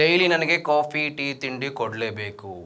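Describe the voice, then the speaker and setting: A man with a North Karnataka accent speaks over noticeable background noise. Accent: North Karnataka Kannada. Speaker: stand-up comedian. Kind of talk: stand-up comedy performance. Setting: live stage with audience.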